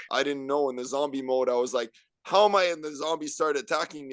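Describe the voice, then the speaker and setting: Very fast male speech, pitched fairly high, with ordinary variation in pitch. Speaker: podcast guest. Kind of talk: casual podcast conversation.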